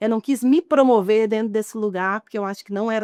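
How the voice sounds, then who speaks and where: A woman with a Goiás accent and a fairly high pitch is heard in a dry, close sound with no echo on a very clean recording with a silent background. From Goiás, Brazil (outskirts of Goiânia). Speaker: chef and entrepreneur. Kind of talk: interview.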